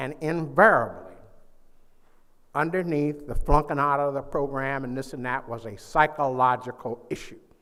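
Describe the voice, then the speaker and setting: A man speaks at a moderate pace with a fairly high pitch and a bright, sharp tone. He sounds animated, and his loudness swings widely. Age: 80s+. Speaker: psychologist and keynote speaker. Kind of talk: keynote address. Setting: conference stage with audience. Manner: animated, call-and-response.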